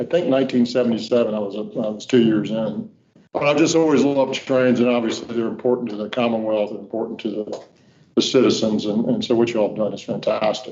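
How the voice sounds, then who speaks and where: A man with a Virginia Tidewater accent at a very fast pace, medium pitch and fairly even intonation. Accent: Virginia Tidewater Southern. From Virginia, Norfolk. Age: 60s. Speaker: state transportation official. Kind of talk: welcome speech at board meeting. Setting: meeting room at podium. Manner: casual, folksy.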